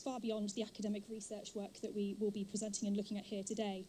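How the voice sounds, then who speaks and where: A woman talks at a very fast pace. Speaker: professor, conference organizer. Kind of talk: welcome speech.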